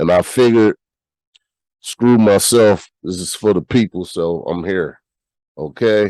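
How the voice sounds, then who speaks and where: Speaking at a fairly slow pace with long, frequent pauses, a man uses a fairly low pitch, a dark, mellow tone and ordinary pitch variation, with a dry, close sound and no echo. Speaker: podcast host. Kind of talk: news commentary. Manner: casual, conversational.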